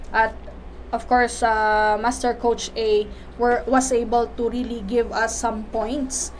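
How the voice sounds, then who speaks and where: This woman's voice sits fairly high and stays monotone and flat throughout. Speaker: life coach and teacher. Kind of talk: motivational talk. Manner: halting, many fillers.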